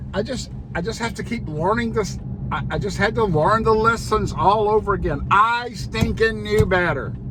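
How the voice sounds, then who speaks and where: A man keeps a moderate pace while noticeable background noise and audible room echo fill the recording. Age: 60s. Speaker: pastor and motorcycle vlogger. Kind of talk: casual vlog monologue. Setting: alone in office. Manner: halting, repeats words.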